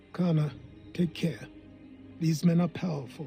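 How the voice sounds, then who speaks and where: Over music in the background, a man puts on a raspy character voice, fairly high in pitch, at a moderate pace. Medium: video game. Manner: dry, formal.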